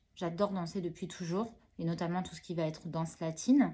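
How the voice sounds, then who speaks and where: A woman talks at a moderate pace in a medium pitch. Her tone is dark and mellow, with ordinary pitch variation. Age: 30s. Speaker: hospital worker and new motorcyclist. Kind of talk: interview. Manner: hesitant, many fillers.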